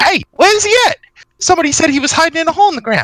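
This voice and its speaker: A put-on character voice, squeaky and extremely high, at a very fast pace. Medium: actual play. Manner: loud, blunt.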